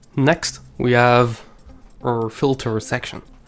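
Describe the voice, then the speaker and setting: Someone speaks in a Quebec accent at a very slow pace. Music plays in the background. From Quebec City, Canada. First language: French. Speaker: music producer. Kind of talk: instructional tutorial.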